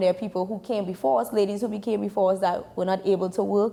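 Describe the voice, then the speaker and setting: Speaking at a fairly quick pace, a woman uses a dark, mellow tone and fairly even intonation. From Trinidad and Tobago. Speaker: sports information director and journalist. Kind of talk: interview.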